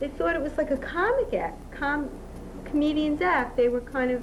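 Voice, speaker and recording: A woman with a Brooklyn accent talks at a moderate pace with ordinary pitch variation, amid noticeable background noise and audible room echo. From Brooklyn, New York. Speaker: outside sales rep. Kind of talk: documentary interview.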